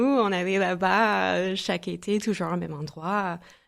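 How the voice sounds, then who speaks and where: On a very clean recording with a silent background, a woman with an American accent and a fairly low pitch speaks very slowly. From US Midwest, St. Louis, Missouri. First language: English (speaking French). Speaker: entrepreneur. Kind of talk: podcast interview.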